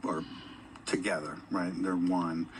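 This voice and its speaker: With fairly even intonation, a man talks at a moderate pace amid audible room echo. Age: 50s. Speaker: corporate employee and endurance athlete. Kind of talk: on-stage interview.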